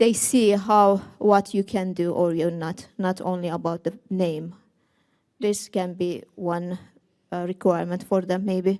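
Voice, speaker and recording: A woman speaks at a fairly slow pace with a medium pitch, a dark, mellow tone, and fairly even intonation. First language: not Finnish, not English. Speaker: seminar participant, migrant. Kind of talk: audience question response. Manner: halting.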